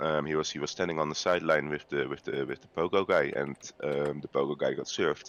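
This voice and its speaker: Very fast pace in a Dutch accent. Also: man. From Netherlands, The Hague. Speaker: video game player guest. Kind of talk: casual podcast chat. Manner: halting, many fillers.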